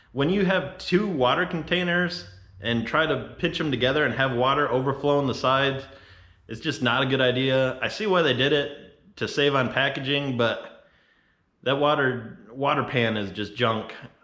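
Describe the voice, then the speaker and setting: Audible room echo surrounds a man whose fairly high pitch carries along at a moderate pace. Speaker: off-road and fabrication YouTuber. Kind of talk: product review tutorial. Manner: monotone; casual.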